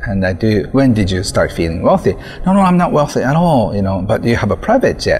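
A man speaks at a medium pitch and a fairly quick pace, his pitch swinging very widely. Noticeable background noise runs underneath. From Japan. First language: Japanese. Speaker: author. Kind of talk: interview. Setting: outdoors.

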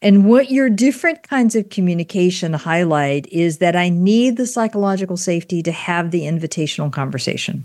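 A woman with an ordinary speaking voice at a medium pitch, lively intonation, a fairly quick pace and hardly any pauses. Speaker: podcast host. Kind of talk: interview conversation.

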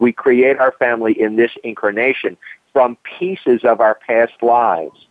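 A man with a plain, everyday voice at a moderate pace. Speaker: hypnotherapist and karmic astrologer. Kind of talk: radio interview. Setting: radio show.

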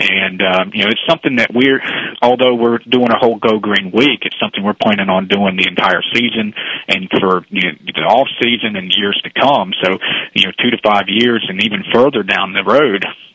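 A man's fairly low voice against noticeable background noise. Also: ordinary pitch variation, moderate pace. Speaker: baseball league executive. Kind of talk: radio interview.

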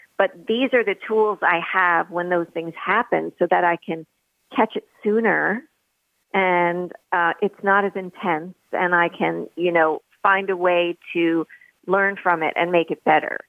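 A woman speaks slowly, at a fairly low pitch, in an ordinary speaking voice. Her intonation stays fairly even. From New York City, Manhattan. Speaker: author. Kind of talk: interview.

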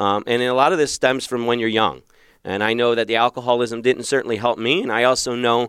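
Speaking at a fairly quick pace, a man with an American accent holds a medium pitch. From Philadelphia, US. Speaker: marriage coach. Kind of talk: solo podcast monologue. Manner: halting with many fillers.

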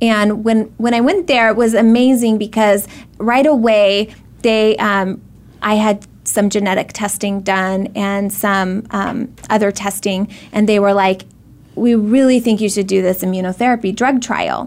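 With a normal speaking voice, a woman talks at a fairly slow pace, pitched fairly high with fairly even intonation. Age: 30s. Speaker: ovarian cancer survivor and foundation founder. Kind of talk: interview. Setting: live video stream.

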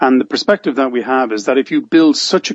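A man with an Irish accent speaks at a medium pitch with ordinary pitch variation. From Ireland. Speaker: business coach and author. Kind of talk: interview conversation.

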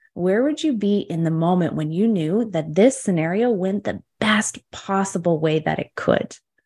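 Moderate pace with lively intonation and hardly any pauses. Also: woman, medium pitch for a woman. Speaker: spiritual business coach. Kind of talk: interview. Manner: talkative.

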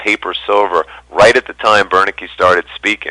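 A man's plain, everyday voice with an American accent, fairly low in pitch, at a fairly slow pace with ordinary pitch variation, in a dry, close sound with no echo. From New York. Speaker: precious metals dealer and former Wall Street analyst. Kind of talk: radio interview.

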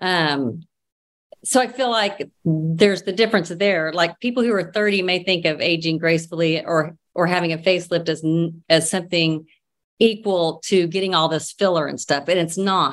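The woman has an ordinary speaking voice with an American accent and a fairly low pitch. Her pace is moderate and her pitch varies in an ordinary way. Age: 50s. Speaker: social media personality. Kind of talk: casual chat.

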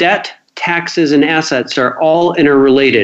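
This is a man speaking with a Midwestern American accent. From US Midwest, Cedar Rapids, Iowa. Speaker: financial planning expert and author. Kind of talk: radio interview.

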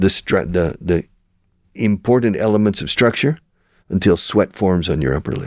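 On a very clean recording with a silent background, a man speaks with an American accent and lively intonation at a moderate pace. His voice is fairly low, and the sound is dry and close with no echo. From Texas (Houston). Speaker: radio show host, language school founder. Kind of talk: radio interview. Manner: animated.

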